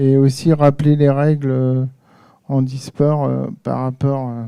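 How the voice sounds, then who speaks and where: A man's dark, mellow, fairly high voice at a very slow pace, with fairly even intonation. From Normandy, France (Le Havre). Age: 40s. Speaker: audience member at a conference, table tennis referee. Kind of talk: audience contribution at a round-table conference. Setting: conference hall with audience, handheld mic. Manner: hesitant, many fillers.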